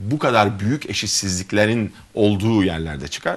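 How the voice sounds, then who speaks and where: This man speaks at a moderate pace in a fairly low pitch. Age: 40s. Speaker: gynecologist and mayoral candidate; candidate. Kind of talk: interview. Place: studio. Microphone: lapel.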